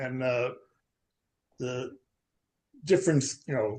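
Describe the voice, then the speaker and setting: Speaking at a fairly slow pace, a man sounds somewhat breathy. His pitch is fairly high, with ordinary pitch variation. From US Northeast, Long Island, New York. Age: 70s. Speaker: poetry group participant. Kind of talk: casual chat. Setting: video call. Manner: halting, many fillers and repeats.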